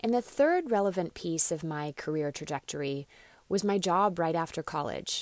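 With an American accent, a woman with an ordinary speaking voice talks at a fairly low pitch and moderate pace with ordinary pitch variation, on a very clean recording with a silent background. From Australia (ages 4 to 14), then US. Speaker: professor of international studies. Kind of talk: interview.

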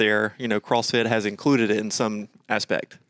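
Recorded very cleanly against a silent background, a man with a normal speaking voice and an American accent talks at a fairly quick pace with a medium pitch and fairly even intonation, in a dry, close sound with no echo. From Georgia, US. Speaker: fitness coach and podcast co-host. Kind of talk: casual chat.

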